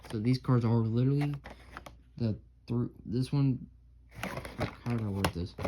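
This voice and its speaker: Long, frequent pauses in fairly slow speech, with noticeable background noise. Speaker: diecast car collector YouTuber. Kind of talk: casual haul video. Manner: casual, filler-heavy; stammering, self-correcting.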